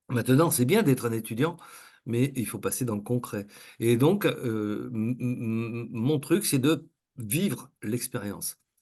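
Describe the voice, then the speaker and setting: Very slowly, a man speaks at a medium pitch with ordinary pitch variation. His tone is dark and mellow, and the background is quiet. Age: 60s. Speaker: coach and trainer. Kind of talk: interview. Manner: halting, many fillers.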